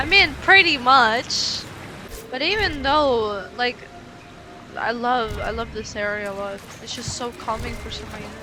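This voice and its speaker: In a room with audible echo and noticeable background noise, a speaker with a non-native accent talks fairly slowly with lively intonation and long, frequent pauses. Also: woman, high pitch for a woman, big swings in loudness. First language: not English. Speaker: gaming streamer. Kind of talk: casual gameplay commentary. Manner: reads game text aloud between casual remarks.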